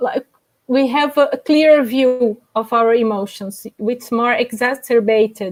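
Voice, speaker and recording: On a very clean recording with a silent background, a woman with a non-native accent speaks at a fairly slow pace in a high voice with ordinary pitch variation. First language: not English. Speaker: panelist on out-of-body experiences. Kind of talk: panel discussion. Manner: halting.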